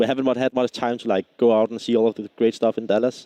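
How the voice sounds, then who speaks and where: Speaking very fast with a Danish accent, a man has a dark, mellow tone and a dry, close sound with no echo. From Denmark. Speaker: esports player, team leader. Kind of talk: post-match interview. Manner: halting, many fillers.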